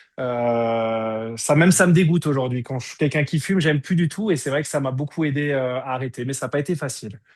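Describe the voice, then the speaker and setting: With a normal speaking voice, a man talks at a fairly quick pace with hardly any pauses, his pitch fairly high and ordinary in its variation. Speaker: energy healing teacher. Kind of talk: online workshop.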